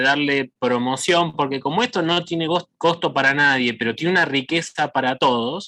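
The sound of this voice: A man with a bright, sharp tone.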